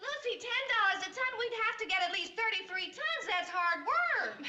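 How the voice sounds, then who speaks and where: A woman in a squeaky, put-on character voice, extremely high-pitched, with lively intonation at a moderate pace. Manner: dry, sardonic.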